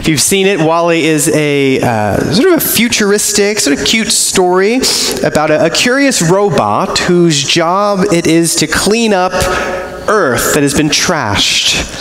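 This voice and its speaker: Audible room echo surrounds the voice. A man talks at a fairly slow pace. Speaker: preacher. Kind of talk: sermon. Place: church. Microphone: camera far.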